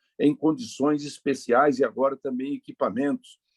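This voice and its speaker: In a normal speaking voice, a man talks at a moderate pace and a fairly high pitch, with lively intonation and a dry, close sound that has no echo. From Brazil, Paraná (north, rural). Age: 60s. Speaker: politician. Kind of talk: interview.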